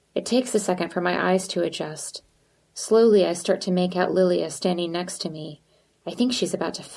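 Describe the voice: The reading is plain, and the pitch varies in an ordinary way.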